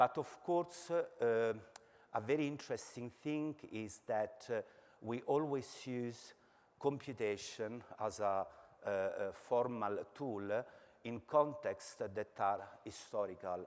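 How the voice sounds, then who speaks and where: A man with an Italian accent speaks very slowly at a medium pitch with ordinary pitch variation. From Italy. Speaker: architecture lecturer. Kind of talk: academic presentation. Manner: halting, many filler words.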